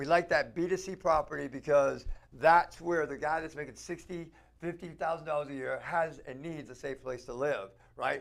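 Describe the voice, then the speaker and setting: The speaker is a man with an animated tone. His pitch variation is ordinary. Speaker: real estate investor, show co-host. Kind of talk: casual chat. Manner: fast.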